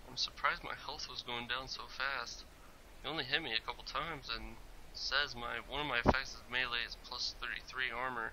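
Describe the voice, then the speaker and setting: Noticeable background noise and a man's fairly quick delivery. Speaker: gaming YouTuber. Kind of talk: gameplay commentary.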